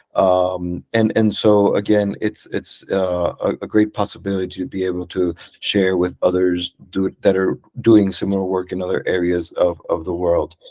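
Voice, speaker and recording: At a very deep, low pitch, a man speaks at a moderate pace with a dark, mellow tone and monotone, flat intonation, the sound dry and close with no echo. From Venezuela. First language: Spanish. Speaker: psychologist. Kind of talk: conference talk. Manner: halting, many fillers.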